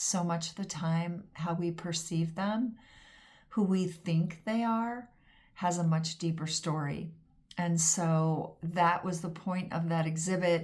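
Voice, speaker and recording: In an American accent, a woman speaks at a very slow pace with a fairly low pitch. Her voice is somewhat breathy, and her intonation is fairly even. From US West Coast, Pasadena, California. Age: 60s. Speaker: home organizer and former photographer. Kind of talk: casual vlog monologue. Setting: home studio at desk.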